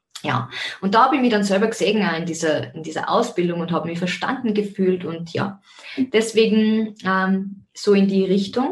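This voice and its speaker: With ordinary pitch variation and a medium pitch, a woman talks at a moderate pace. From Austria, Zell am See (Salzburg). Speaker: podcast host, life coach and yoga teacher. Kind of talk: personal monologue.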